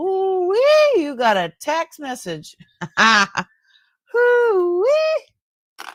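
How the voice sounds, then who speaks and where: In a loud, put-on character voice with an extremely high pitch and very wide pitch swings, the speaker goes at a very slow pace with long, frequent pauses. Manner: loud, hollering.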